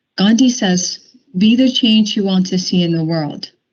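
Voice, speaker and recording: This woman's voice is somewhat breathy. Her pitch variation is ordinary. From mainland China. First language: Chinese. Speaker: company diversity group leader. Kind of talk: prepared speech at a work meeting.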